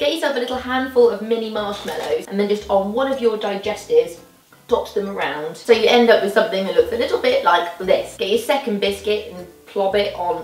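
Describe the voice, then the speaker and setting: Faint music plays in the background as a woman talks at a fairly quick pace, with audible room echo. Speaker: presenter. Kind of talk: tutorial. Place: kitchen.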